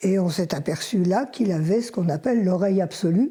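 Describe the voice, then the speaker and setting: In a very clean recording with a silent background, a woman's fairly low, somewhat breathy voice has a dark, mellow tone, ordinary pitch variation and a moderate pace. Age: 80s+. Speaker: retired schoolteacher, mother of the subject. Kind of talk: documentary interview.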